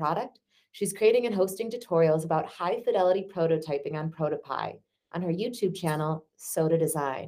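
With a normal speaking voice, a woman talks fairly quickly at a fairly low pitch with ordinary pitch variation. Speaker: podcast host. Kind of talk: interview conversation, casual.

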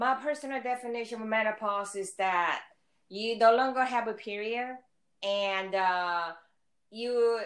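A woman with a normal speaking voice talks at a fairly slow pace and fairly high pitch, with ordinary pitch variation, on a very clean recording with a silent background. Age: 60s. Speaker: mother of the hosts. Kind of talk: casual chat.

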